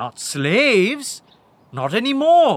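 A man's put-on character voice, high-pitched, very slow, with very wide pitch swings.

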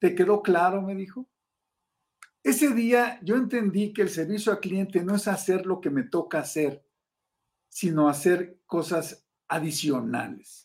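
Lively in intonation and high in pitch, a man talks at a fairly slow pace. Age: 70s. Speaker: customer service consultant. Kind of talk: interview.

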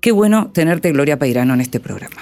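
Music plays behind a woman whose pitch swings very widely. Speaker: radio host. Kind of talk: radio interview; scripted narration.

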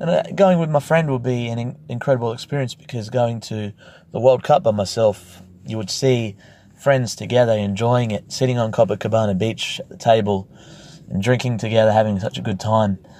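Talking at a fairly quick pace with big swings in loudness, a man with an Australian accent has a dark, mellow tone, recorded very cleanly against a silent background. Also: medium pitch for a man, ordinary pitch variation. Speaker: travel podcast host. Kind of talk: casual audio diary; scripted narration.

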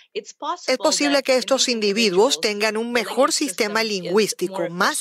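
With a Russian accent, the speaker moves at a fairly slow pace with lively intonation over noticeable background noise. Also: woman. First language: Russian (speaking Spanish). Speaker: neuroscience professor. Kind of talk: interview.

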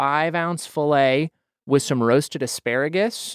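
An unremarkable speaking voice with an American accent moves at a moderate pace with ordinary pitch variation, in a very clean recording with a silent background and a dry, close sound with no echo. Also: man. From Idaho, US. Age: 20s. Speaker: podcast host. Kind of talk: casual chat. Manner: self-deprecating, joking.

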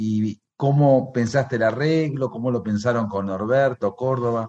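A man at a fairly slow pace, medium pitch and ordinary pitch variation, over a quiet background. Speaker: radio host. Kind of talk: radio interview. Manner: halting.

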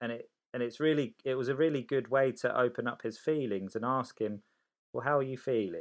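Talking fairly quickly with a southern English accent, a man keeps a medium pitch and fairly even intonation. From Oxfordshire, England (born in Sicily). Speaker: guest parent. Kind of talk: casual chat.

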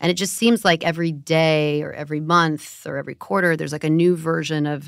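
An unremarkable speaking voice from a woman, fairly low in pitch and fairly quick, on a very clean recording with a silent background. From US West, Los Angeles. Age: 40s. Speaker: podcast host, media executive. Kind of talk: podcast interview.

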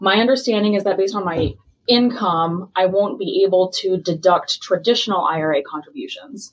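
Somewhat breathy, the voice carries an American accent and ordinary pitch variation. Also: woman. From US Midwest. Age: 30s. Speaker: listener asking a question. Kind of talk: recorded voicemail question.

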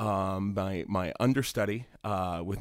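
Recorded very cleanly against a silent background, a man speaks at a fairly low pitch with an American accent. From US, West Virginia. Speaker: musical theatre actor and singer. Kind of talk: interview monologue. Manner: hesitant, many fillers.

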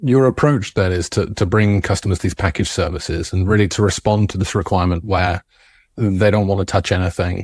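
Very deep and low in pitch, a man talks at a fairly quick pace with very even loudness and a somewhat breathy voice. The sound is dry and close, with no echo. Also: fairly even intonation, very clean recording, silent background. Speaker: podcast host. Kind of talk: casual interview chat.

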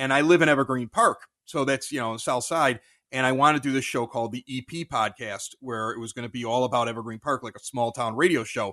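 A man talks at a very fast pace with a medium pitch and ordinary pitch variation. His tone is bright and sharp, and the sound is dry and close with no echo. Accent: American. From Chicago. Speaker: sports podcaster, former radio host. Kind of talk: casual interview.

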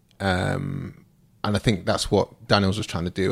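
A man with a British accent, fairly low pitch, fairly even intonation and a moderate pace, on a very clean recording with a silent background. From UK. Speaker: podcast co-host. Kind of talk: casual chat.

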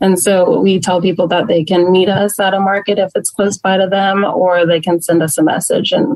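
Speaking at a fairly quick pace, a woman has an unremarkable speaking voice of medium pitch with fairly even intonation. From Texas (Plano, North Texas). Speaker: small business owner and teacher. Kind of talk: casual interview.

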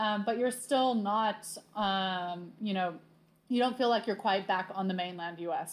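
Speaking at a fairly slow pace, a woman with an American accent has a normal speaking voice, a medium pitch, and ordinary pitch variation. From Southern California. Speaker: tour company worker. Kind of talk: casual interview.

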